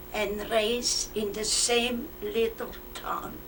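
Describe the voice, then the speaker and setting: Speaking at a very slow pace, a woman uses a high pitch. Audible room echo and noticeable background noise fill the recording. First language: Flemish. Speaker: war-era civilian interviewee. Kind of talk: oral history interview. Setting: museum.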